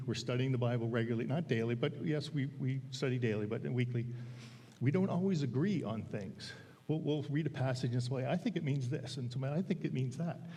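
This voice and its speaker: With audible room echo, a man speaks at a fairly quick pace in a dark, mellow, somewhat breathy voice with ordinary pitch variation. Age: 60s. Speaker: lay preacher, men's Bible study leader. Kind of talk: sermon. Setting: church. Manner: halting.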